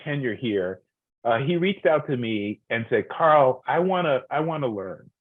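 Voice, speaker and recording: Speaking fairly slowly, a man has an unremarkable speaking voice at medium pitch. His intonation is lively. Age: 60s. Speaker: education leader. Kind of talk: webinar interview.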